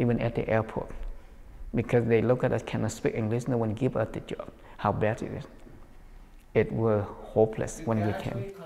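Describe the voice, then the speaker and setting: Noticeable background noise sits behind a man of medium pitch who talks at a moderate pace with ordinary pitch variation and long, frequent pauses. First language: not English. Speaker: dance studio owner and teacher. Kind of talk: documentary interview.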